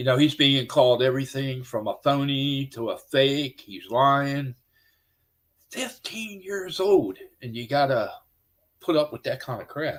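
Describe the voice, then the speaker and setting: In an ordinary speaking voice, a man talks at a fairly slow pace and fairly high pitch with ordinary pitch variation, on a very clean recording with a silent background. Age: 60s. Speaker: paranormal podcast host. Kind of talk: casual chat.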